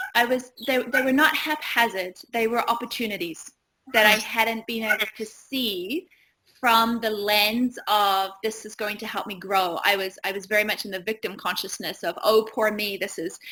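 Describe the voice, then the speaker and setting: Speaking at a moderate pace with a New Zealand accent, a woman has a bright, sharp tone, a fairly high pitch and ordinary pitch variation. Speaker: yoga teacher and retreat owner. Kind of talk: interview.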